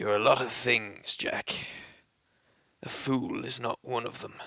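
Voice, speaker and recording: A man puts on a raspy character voice at a medium pitch. He speaks at a fairly slow pace. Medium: read story. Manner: matter-of-fact, sardonic.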